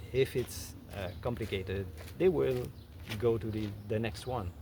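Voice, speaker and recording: The speaker uses lively intonation at a fairly slow pace. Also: man. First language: French. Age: 50s. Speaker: content creator. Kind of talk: casual talk to camera. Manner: halting, many fillers and restarts.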